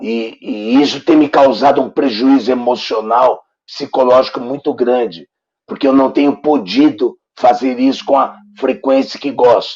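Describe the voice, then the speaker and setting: A man talks at a medium pitch with ordinary pitch variation. He keeps a fairly slow pace. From Brazil, son of Italians. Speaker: talk show interviewer. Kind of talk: interview. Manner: halting.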